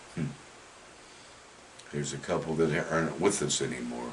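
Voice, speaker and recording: With an American accent and lively intonation, a man speaks at a very deep, low pitch amid noticeable background noise and audible room echo. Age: 60s. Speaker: retired high school football coach. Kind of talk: interview.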